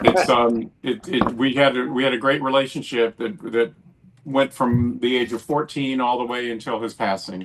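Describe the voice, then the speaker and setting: Someone with an American accent speaks at a moderate pace with ordinary pitch variation, over noticeable background noise. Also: man, medium pitch for a man. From US South, North Carolina. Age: 70s. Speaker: film director. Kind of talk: casual interview chat.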